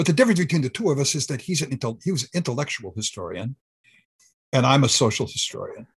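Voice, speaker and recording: A man with an American accent speaks in a somewhat breathy voice with ordinary pitch variation against a quiet background. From US, Southern California. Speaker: historian. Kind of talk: interview. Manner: halting.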